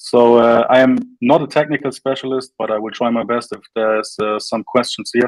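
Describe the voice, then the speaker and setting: A man with a German accent, medium-pitched and fairly even in intonation, at a moderate pace, in a dry, close sound with no echo. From northern Germany, Flensburg. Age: 30s. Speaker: crypto company representative. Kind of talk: interview. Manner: halting.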